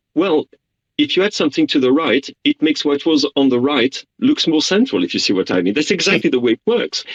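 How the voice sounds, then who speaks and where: Fairly high-pitched with vocal fry, a man moves through very wide pitch swings at a fairly quick pace, keeping very even loudness in a dry, close sound with no echo. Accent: French. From France. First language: French. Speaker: journalist. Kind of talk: radio interview.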